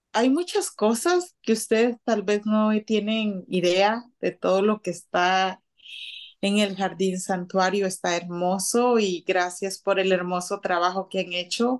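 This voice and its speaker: A woman speaks very slowly with fairly even intonation and very even loudness. The background is quiet. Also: medium pitch for a woman. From Guatemala City. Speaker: house cleaning business owner. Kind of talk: radio interview.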